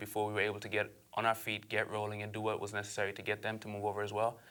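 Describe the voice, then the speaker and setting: A man with a fairly low pitch and a very fast pace, in an Aruban accent. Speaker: entrepreneur. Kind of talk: interview.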